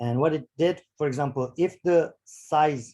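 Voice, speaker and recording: This man's voice sits fairly high in pitch, with a dark, mellow tone and ordinary pitch variation. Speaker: bioinformatics workshop instructor. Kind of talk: tutorial. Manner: halting, many fillers.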